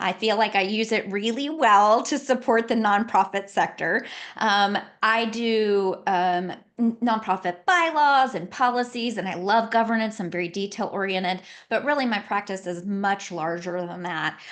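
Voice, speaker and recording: Against a quiet background, a woman with a Southern accent speaks at a moderate pace with medium pitch and ordinary pitch variation. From Louisiana, later South Carolina. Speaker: nonprofit consultant and lawyer. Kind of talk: podcast interview.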